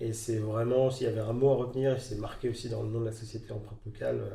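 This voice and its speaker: A man talks at a very fast pace with medium pitch and monotone, flat intonation. There is audible room echo and noticeable background noise. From Normandy, France (Rouen area). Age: 30s. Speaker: entrepreneur, clothing brand founder. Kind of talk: interview. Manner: halting, many fillers.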